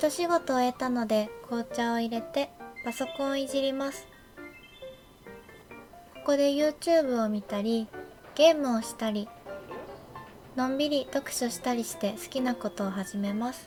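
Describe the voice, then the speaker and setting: Quiet and high-pitched, a woman speaks at a fairly slow pace with long, frequent pauses, big swings in loudness and ordinary pitch variation while music plays in the background. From Japan. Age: 20s. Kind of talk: game video voice-over narration. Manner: quiet, low-energy.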